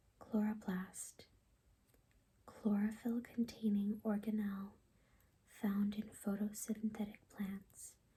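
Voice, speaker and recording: A woman speaks very slowly at a medium pitch, her dark, mellow voice soft-spoken and somewhat breathy. Her intonation stays monotone and flat, broken by long, frequent pauses. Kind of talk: ASMR reading of biology definitions. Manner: soft-spoken, calming.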